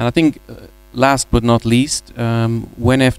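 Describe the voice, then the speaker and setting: With a dry, close sound and no echo, a man speaks at a medium pitch in monotone, flat intonation. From Ireland. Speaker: business executive. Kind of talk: panel discussion. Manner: hesitant, many fillers.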